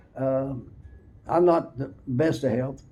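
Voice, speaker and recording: A man speaks with a dark, mellow tone. Audible room echo surrounds the voice. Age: 80s+. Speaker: retired race car driver. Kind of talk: casual chat. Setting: garage. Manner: halting.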